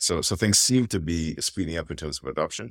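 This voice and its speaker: A man's very deep, low voice with vocal fry, at a fairly quick pace. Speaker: tech company executive. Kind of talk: interview. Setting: at a tech summit in Hawaii.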